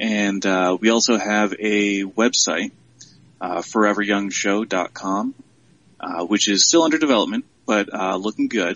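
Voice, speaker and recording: Here a man with an American accent speaks in an ordinary speaking voice. His pitch is fairly low, with ordinary pitch variation. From Central New York. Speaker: writer and web series creator. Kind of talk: casual interview.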